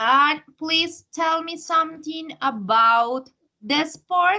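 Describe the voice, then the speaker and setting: A woman's high, raised, projected voice in a Spanish accent, bright and sharp in tone, with ordinary pitch variation. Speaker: English teacher. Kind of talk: language lesson feedback.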